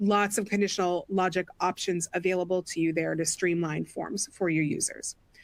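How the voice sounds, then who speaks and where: At a fairly quick pace, a woman talks in a medium pitch with monotone, flat intonation, in a dry, close sound with no echo. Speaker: product education manager. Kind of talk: webinar tutorial demo. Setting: online webinar. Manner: fast.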